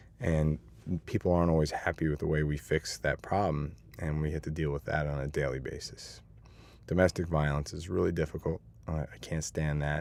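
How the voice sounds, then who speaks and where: An American accent marks this man's very deep, low voice, which moves at a fairly quick pace with fairly even intonation. The recording is very clean, with a silent background. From Hastings-on-Hudson, New York. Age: 30s. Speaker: police officer. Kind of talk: interview answer.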